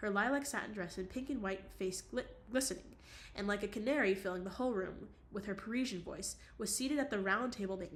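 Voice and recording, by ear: Natural-voiced reading aloud, the pitch varying in an ordinary way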